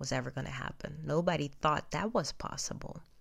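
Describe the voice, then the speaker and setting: A woman with a non-native accent on a very clean recording with a silent background. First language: not English. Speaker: podcaster. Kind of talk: personal monologue. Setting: at home in bed. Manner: halting.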